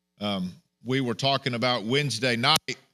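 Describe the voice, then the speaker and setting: On a very clean recording with a silent background, a man speaks loud at a medium pitch in a bright, sharp tone. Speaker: pastor. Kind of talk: sermon. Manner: animated.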